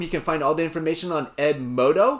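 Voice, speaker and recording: The delivery is very fast with ordinary pitch variation, in a very clean recording with a silent background. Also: man. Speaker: youth pastor. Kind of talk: live show announcements. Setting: live stream. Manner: animated.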